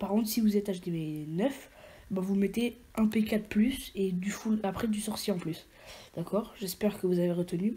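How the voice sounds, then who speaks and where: A woman with a fairly high pitch and a dark, mellow, somewhat breathy tone talks at a moderate pace with ordinary pitch variation. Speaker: gaming YouTuber. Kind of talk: gameplay tutorial commentary. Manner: halting, many fillers and repetitions.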